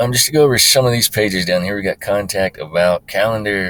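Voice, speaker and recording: Talking at a very fast pace, a man has a bright, sharp tone. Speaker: website creator, hunter. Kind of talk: screen-recorded tutorial. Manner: casual with many fillers.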